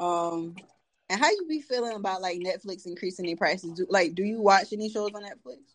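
A woman with an unremarkable speaking voice, medium pitch and ordinary pitch variation, at a fairly quick pace. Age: 20s. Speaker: podcast host. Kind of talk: casual chat.

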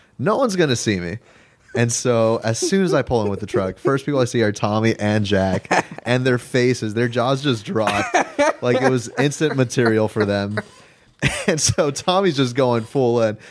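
Medium in pitch and moderate in pace, a man's voice shows ordinary pitch variation in a normal speaking voice. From Los Angeles. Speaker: podcast guest. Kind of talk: casual chat.

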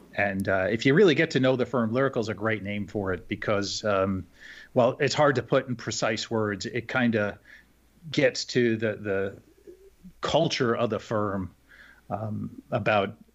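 At a fairly slow pace and medium pitch, a man speaks in an ordinary speaking voice with ordinary pitch variation against a quiet background. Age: 50s. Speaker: investment manager. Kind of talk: interview.

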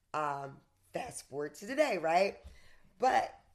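Fairly low in pitch, a woman with a Southern US accent talks at a fairly slow pace with lively intonation. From US South. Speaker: fitness coach and author. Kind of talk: interview conversation.

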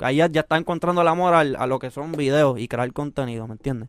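With a Puerto Rican accent, a man talks in fairly even intonation. The sound is dry and close with no echo, and the recording is very clean over a silent background. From Puerto Rico (Mexican parents). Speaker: urban music artist and producer. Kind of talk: casual interview.

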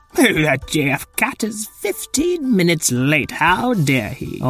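Putting on a character voice, a man speaks at a very slow pace in a high pitch, with faint music in the background. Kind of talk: children's story comic voice. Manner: flustered, huffy, pompous.

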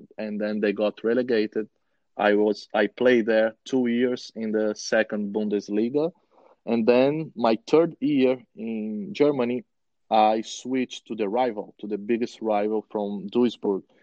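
A man talks with a Brazilian accent in a medium pitch. His pace is fairly slow and his intonation fairly even. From Brazil, Rio de Janeiro. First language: Portuguese. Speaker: former professional footballer. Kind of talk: interview.

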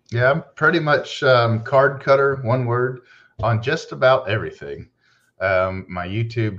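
Over a quiet background, a man talks at a fairly slow pace with lively intonation in an unremarkable speaking voice. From Texas. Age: 40s. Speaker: card collector and YouTuber. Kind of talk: casual chat.

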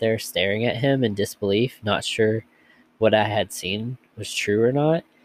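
Unforced reading voice, its pitch moving in an ordinary way

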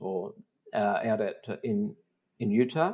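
A man with an Australian accent and medium pitch speaks at a very slow pace with ordinary pitch variation. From South Australia, the Mallee. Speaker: mining company executive. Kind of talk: interview. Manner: halting.

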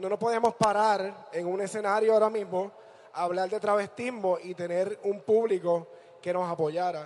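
A man with a high voice talks at a moderate pace, keeping his intonation fairly even. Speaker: drag performer. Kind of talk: onstage interview.

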